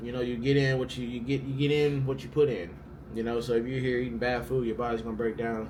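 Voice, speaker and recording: There is audible room echo as a man speaks. He moves at a fairly quick pace with fairly even intonation. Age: 20s. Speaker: pro baseball player and vlogger. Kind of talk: casual Q&A vlog. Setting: hotel room. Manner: casual, filler-heavy.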